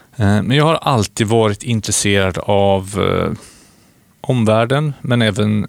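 On a very clean recording with a silent background, a man talks in an unremarkable speaking voice. His pitch is fairly low, and the sound is dry and close with no echo. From Sweden, Skövde (Västergötland). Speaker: podcast co-host, wind energy entrepreneur. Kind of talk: casual chat.

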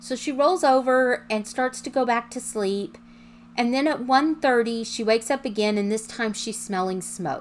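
An unremarkable speaking voice talks at a fairly slow pace. Its pitch variation is ordinary. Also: woman, fairly high pitch for a woman. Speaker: podcast host. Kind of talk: true-crime narration. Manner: measured, suspenseful storyteller pacing, conversational.

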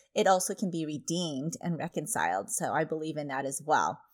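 A woman's plain, everyday voice, fairly low in pitch, with ordinary pitch variation and a moderate pace, in a very clean recording with a silent background. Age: 40s. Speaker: parenting podcast host and mom coach. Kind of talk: monologue podcast advice.

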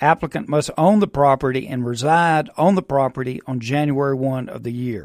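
With hardly any pauses, a man with a Mississippi accent speaks at a moderate pace in a fairly high voice with ordinary pitch variation, recorded dry and close with no echo on a very clean recording with a silent background. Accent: Mississippi Southern. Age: 60s. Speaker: real estate investor. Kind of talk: radio interview. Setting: studio.

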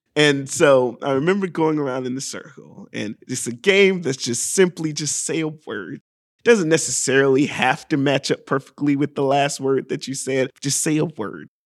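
With an American accent, a man talks at a moderate pace with hardly any pauses, using an unremarkable speaking voice. His pitch is fairly high, with ordinary variation. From US South, Augusta, Georgia. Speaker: improv performer. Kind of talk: casual chat. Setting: studio.

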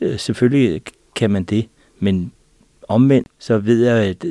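Recorded dry and close with no echo over a quiet background, a man with a fairly low pitch and a dark, mellow tone talks at a fairly slow pace with ordinary pitch variation. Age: 50s. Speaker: vision consultant. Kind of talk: panel discussion. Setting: studio.

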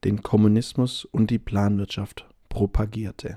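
A man speaks at a fairly slow pace in a fairly low pitch, with fairly even intonation. His tone is dark, mellow and relaxed, and somewhat breathy. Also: dry, close sound with no echo. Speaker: language-learning podcast host. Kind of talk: scripted narration. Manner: relaxed pace.

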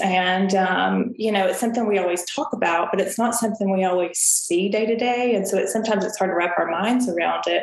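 A woman speaks in a Southern US accent with fairly even intonation. The room echoes audibly, and background noise is noticeable. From Tennessee, US South. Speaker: financial advisor. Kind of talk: interview.

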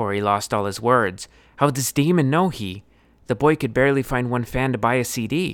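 In a very clean recording with a silent background, a man with an unremarkable speaking voice talks at a moderate pace, medium in pitch with ordinary pitch variation. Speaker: storyteller and podcast author.

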